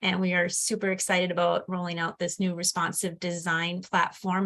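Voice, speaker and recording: A woman's medium-pitched, fairly quick speech with an Upper Peninsula Michigan accent. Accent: Upper Midwest (Yooper). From Upper Peninsula of Michigan. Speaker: education program specialist. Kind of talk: webinar presentation. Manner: fast.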